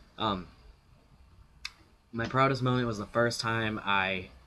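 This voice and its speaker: Over audible room echo, a man speaks fairly slowly in a bright, sharp tone with ordinary pitch variation. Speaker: vlogger. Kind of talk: casual vlog Q&A. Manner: halting, many fillers.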